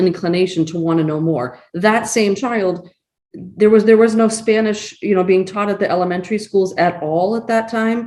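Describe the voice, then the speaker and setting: A woman's ordinary speaking voice at a medium pitch, with ordinary pitch variation and a fairly quick pace. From Massachusetts, Acton. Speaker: community nonprofit board member. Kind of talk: panel discussion.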